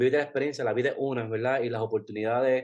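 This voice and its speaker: His pitch sits at a medium level. The man speaks at a very fast pace. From Puerto Rico. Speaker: travel blogger. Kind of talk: casual interview.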